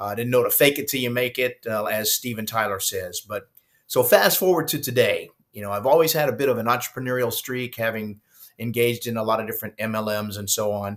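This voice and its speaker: Pitched at a medium level, this man's speech moves at a very fast pace. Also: ordinary pitch variation. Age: 60s. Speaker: retired rock musician turned online entrepreneur. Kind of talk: screen-share walkthrough vlog. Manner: casual, with many fillers.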